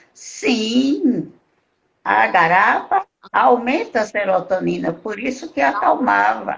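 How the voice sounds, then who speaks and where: A woman's very slow speech with very wide pitch swings and vocal fry. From Brazilian Northeast. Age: 70s. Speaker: pharmacy professor, medicinal plant expert. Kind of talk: interview in a live stream.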